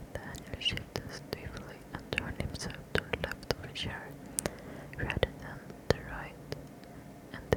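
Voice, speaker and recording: A woman whispers fairly slowly against noticeable background noise. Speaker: ASMR creator. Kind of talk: ASMR whispered book reading. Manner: whispered, soft, slow.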